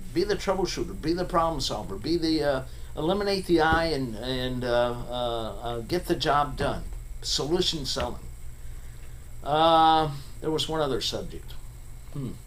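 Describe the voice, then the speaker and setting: Audible room echo surrounds a man who speaks at a moderate pace and a fairly high pitch, with ordinary pitch variation and long, frequent pauses. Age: 70s. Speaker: recruiter. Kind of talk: casual rant to camera. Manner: halting, many fillers.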